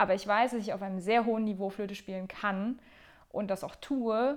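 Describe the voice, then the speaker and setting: A woman speaks fairly quickly at a medium pitch with fairly even intonation. The background is quiet. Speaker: podcast host and flutist. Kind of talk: casual solo monologue. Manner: unscripted, rambling with fillers.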